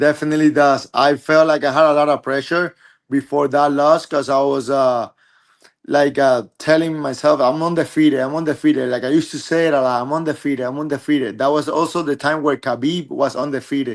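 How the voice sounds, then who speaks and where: In a Spanish accent, a man speaks fairly quickly at a fairly high pitch with monotone, flat intonation. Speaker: MMA fighter. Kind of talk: interview. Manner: halting.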